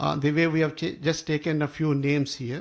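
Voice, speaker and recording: A man with a Telugu accent speaks in a fairly high pitch. The recording is very clean with a silent background. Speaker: professor and co-author. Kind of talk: speech at a book launch. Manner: halting, many fillers.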